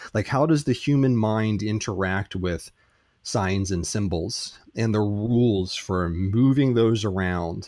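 Recorded very cleanly with a silent background, a man with a fairly low voice and an American accent speaks at a very slow pace with ordinary pitch variation. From United States. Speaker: philosophy and logic teacher. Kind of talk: interview.

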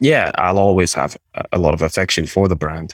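Speaking with a Scottish accent at a fairly quick pace, a man has a very deep, low pitch in a dry, close sound with no echo. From Scotland, near Aberdeen. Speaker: e-commerce business broker. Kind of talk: interview.

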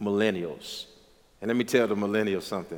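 With an American accent, a man talks at a fairly low pitch with fairly even intonation. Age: 30s. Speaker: pastor. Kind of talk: casual chat.

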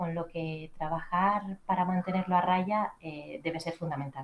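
A woman speaks at a fairly slow pace with a Canarian accent. Her pitch sits in the medium range. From Canary Islands. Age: 30s. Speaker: journalist and entrepreneur. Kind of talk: interview. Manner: formal.

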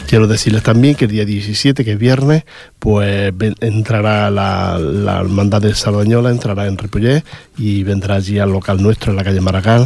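A man at a moderate pace with fairly even intonation, against noticeable background noise. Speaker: local radio host for a rociero association. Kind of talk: casual radio presenting. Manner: halting, with frequent repetitions.

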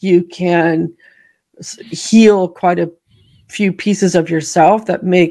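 Against a quiet background, a woman with an American accent has an ordinary speaking voice, medium in pitch, with fairly even intonation. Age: 50s. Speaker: author, memoirist and producer. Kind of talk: interview, personal testimony.

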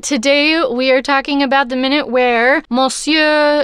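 Her voice is high, with an American accent. This woman's intonation stays fairly even. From Texas. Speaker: podcast co-host and voiceover artist. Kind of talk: casual chat.

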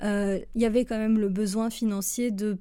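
A woman's fairly high, dark and mellow voice, fairly even in intonation and fairly slow, in a very clean recording with a silent background. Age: 30s. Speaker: graphic designer and trainer. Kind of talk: personal monologue podcast. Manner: halting, many hesitations.

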